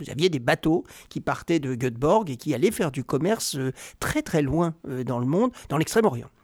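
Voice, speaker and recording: On a very clean recording with a silent background, a man uses a normal speaking voice at a fairly high pitch and moderate pace, with lively intonation and a dry, close sound with no echo. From Normandy, France. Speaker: investment banker. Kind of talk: interview.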